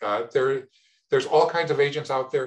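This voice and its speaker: At a fairly quick pace, a somewhat breathy man speaks with ordinary pitch variation. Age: 70s. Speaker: Medicare insurance agent. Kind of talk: interview. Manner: repeats words, some false starts.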